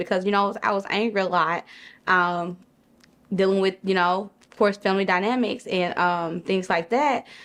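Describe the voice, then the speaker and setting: With a quiet background, a woman with an American accent talks at a moderate pace and medium pitch in an ordinary speaking voice. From Monroe, Louisiana (US South). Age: 30s. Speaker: entrepreneur and business mentor. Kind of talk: interview storytelling. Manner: casual, frequent fillers (um).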